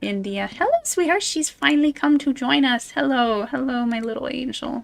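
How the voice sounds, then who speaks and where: Her high-pitched voice has lively intonation as the woman talks at a moderate pace. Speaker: streamer, VTuber. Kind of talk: casual live-stream chat while gaming. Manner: soft-spoken; chatty, with many fillers.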